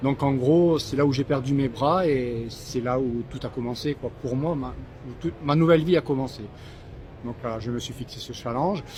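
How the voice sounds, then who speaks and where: A man's medium-pitched voice, with ordinary pitch variation, at a moderate pace. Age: 60s. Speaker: long-distance fin swimmer, charity founder. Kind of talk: post-race interview. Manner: halting, repeats words.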